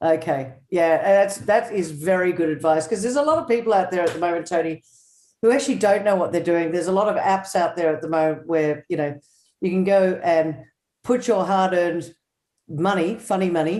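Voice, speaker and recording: Speaking at a fairly quick pace with an Australian accent, a woman has a fairly low pitch, ordinary pitch variation and a dark, mellow tone. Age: 60s. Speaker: show host. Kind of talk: interview. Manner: casual.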